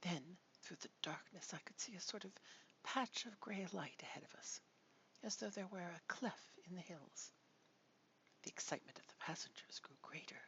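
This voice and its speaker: Whispering in a soothing tone, broken by long, frequent pauses. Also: moderate pace. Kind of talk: soft-spoken ASMR audiobook reading of a gothic novel. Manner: soft, soothing, whispered.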